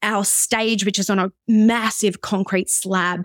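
A woman with an Australian accent, dry and close with no echo, on a very clean recording against a silent background. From Australia, Brisbane. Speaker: pastor and worship leader. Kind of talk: casual interview.

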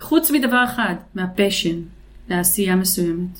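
Audible room echo surrounds a woman talking at a medium pitch. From Israel. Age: 50s. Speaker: business consultant. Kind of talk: interview.

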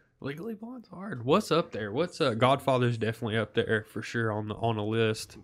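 With hardly any pauses, a man talks at a fairly quick pace in a normal speaking voice, his medium pitch showing ordinary variation. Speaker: podcast co-host. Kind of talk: casual chat.

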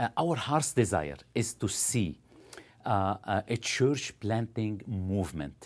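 A man speaks at a very slow pace with lively intonation and vocal fry. His pitch is fairly low, and the recording is very clean with a silent background. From Lebanon. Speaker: missionary church planter. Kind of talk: interview conversation. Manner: halting, many filler sounds.

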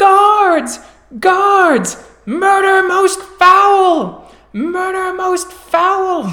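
A woman uses a squeaky, put-on character voice at an extremely high pitch and a very slow pace. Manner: alarmed, shouting.

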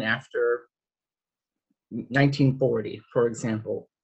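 Somewhat breathy, a man speaks at a medium pitch. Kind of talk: panel discussion. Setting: video call. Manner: halting, many fillers.

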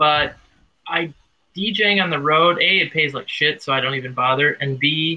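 A man's voice keeps fairly even intonation and a moderate pace. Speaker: tango radio show host and DJ. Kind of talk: casual chat. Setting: call-in radio show, remote. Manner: loud.

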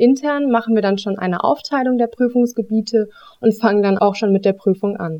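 A woman talks at a moderate pace in a fairly high pitch. She has an unremarkable speaking voice. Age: 20s. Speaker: auditing consultant. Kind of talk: interview, explaining job.

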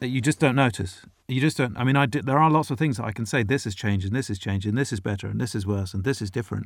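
In a British accent, the speaker talks at a very fast pace with hardly any pauses and ordinary pitch variation. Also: man, medium pitch for a man. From Britain. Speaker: foreign correspondent. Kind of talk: casual interview. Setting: remote call from home.

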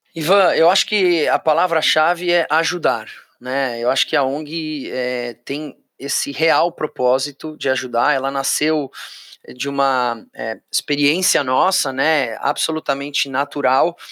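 A fairly high-pitched man at a fairly slow pace, bright and sharp in tone, with fairly even intonation, in a dry, close recording with no echo, very clean with a silent background. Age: 40s. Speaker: auctioneer and NGO founder. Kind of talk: interview conversation.

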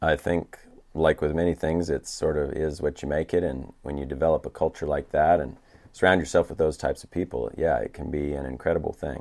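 With an American accent, a man speaks in a very deep, low voice with vocal fry, fairly even intonation and big swings in loudness. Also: fairly quick pace. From USA. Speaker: podcast host and horse trainer. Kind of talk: casual chat.

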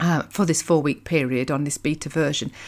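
In a very clean recording with a silent background, a woman speaks with a British accent. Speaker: podcast host and happiness coach. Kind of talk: solo monologue podcast episode. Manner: fast talker, excitable.

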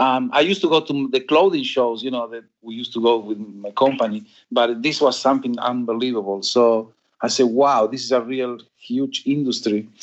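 This man speaks at a moderate pace with an Argentine accent and a medium pitch. His pitch varies in an ordinary way while his loudness swings a lot. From Argentina. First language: Spanish. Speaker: fabric company owner. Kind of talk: interview.

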